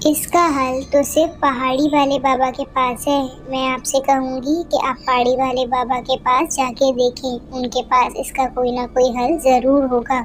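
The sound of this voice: Over clear background noise, a woman does a cartoonish character voice with a high pitch, monotone, flat intonation, a fairly slow pace and hardly any pauses.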